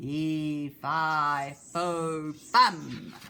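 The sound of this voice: A loud, put-on character voice at middle pitch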